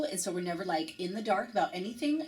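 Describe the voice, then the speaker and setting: Her voice sits at a medium pitch and sounds somewhat breathy. The woman speaks in an animated tone. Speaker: fitness business coach. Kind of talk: webinar presentation. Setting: online webinar. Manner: fast.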